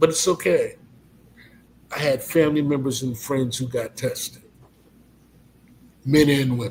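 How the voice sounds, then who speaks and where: A somewhat breathy man with a fairly high voice talks in a fairly even tone, leaving long, frequent pauses. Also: moderate pace. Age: 50s. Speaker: college president. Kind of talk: testimony.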